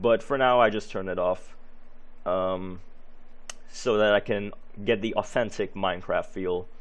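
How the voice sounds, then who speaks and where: The speaker, in a non-native accent, goes at a fairly slow pace with long, frequent pauses and fairly even intonation. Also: man, fairly low pitch for a man. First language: not English. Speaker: gaming youtuber. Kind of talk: gameplay commentary. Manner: halting, many fillers.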